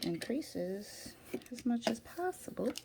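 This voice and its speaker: A woman speaks quietly at a very slow pace. Noticeable background noise runs underneath. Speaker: crafter making handmade journals. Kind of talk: tutorial. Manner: quiet, sparse talk while focused; casual, thinking aloud.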